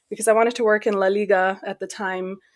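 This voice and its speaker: A woman with a normal speaking voice, an American accent, and medium pitch, at a fairly quick pace in a very clean recording with a silent background. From Pakistan and Saudi Arabia. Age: 30s. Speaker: PhD student. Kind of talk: interview.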